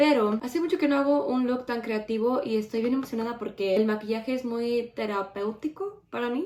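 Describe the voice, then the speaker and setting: A woman with a high pitch talks at a fairly quick pace with lively intonation and hardly any pauses. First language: English (speaking Spanish). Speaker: beauty YouTuber. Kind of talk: makeup tutorial chat. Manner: casual, self-correcting.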